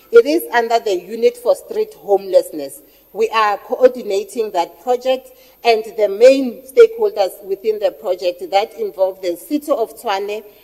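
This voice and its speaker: The speech moves at a moderate pace. Its pitch rises and falls in a typical way. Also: woman, fairly high pitch for a woman. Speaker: researcher. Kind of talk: workshop presentation. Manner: loud.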